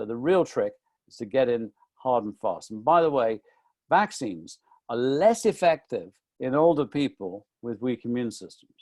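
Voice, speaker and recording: A man with a British accent speaks at a moderate pace in a medium pitch, his intonation lively and the sound dry and close with no echo. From UK. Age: 60s. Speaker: nutrition author. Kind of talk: webinar talk. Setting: online webinar.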